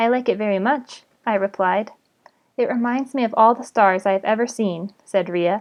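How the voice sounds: This is a natural reading voice with ordinary pitch variation, set against a quiet background.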